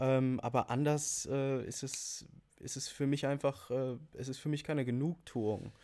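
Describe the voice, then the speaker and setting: With a dark, mellow tone, a man speaks at a fairly slow pace in a medium pitch and monotone, flat intonation. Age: 20s. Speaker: fashion store owner. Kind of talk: casual chat. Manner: halting, many fillers.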